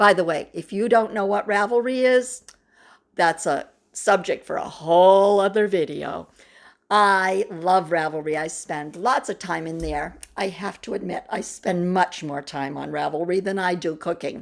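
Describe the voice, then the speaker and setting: In an unremarkable speaking voice, a woman talks at a moderate pace with ordinary pitch variation on a very clean recording with a silent background. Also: medium pitch for a woman. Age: 60s. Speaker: knitting video host. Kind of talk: casual tutorial vlog. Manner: casual with filler words.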